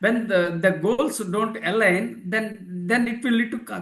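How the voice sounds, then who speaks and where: Speaking with a non-native accent, a man has a high pitch. His pace is fairly slow and his intonation fairly even. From India. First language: not English. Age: 60s. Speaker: leadership author and philosopher. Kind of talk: interview. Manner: halting.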